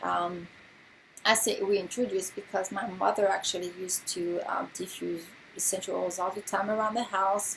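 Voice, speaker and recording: A woman with a slight French accent speaks at a moderate pace and medium pitch, her intonation monotone and flat, with vocal fry. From France. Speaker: essential oils distributor and nurse. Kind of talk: informal presentation. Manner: casual with many filler words.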